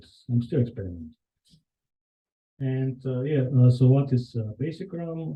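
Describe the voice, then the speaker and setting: Somewhat breathy, a man speaks with a Bulgarian accent. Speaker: software engineer. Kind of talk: conference talk. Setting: meetup with live audience. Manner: hesitant, many fillers.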